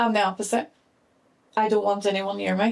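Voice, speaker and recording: At a moderate pace, a woman with a Northern Irish accent talks at a medium pitch. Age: 30s. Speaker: podcast host. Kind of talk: casual chat.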